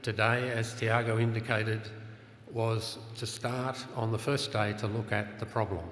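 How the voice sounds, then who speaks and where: A man speaks at a moderate pace with a medium pitch and an Australian accent, his intonation monotone and flat. The room echo is audible, and there is noticeable background noise. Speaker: conference session chair. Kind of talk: conference panel introduction. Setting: conference room with audience.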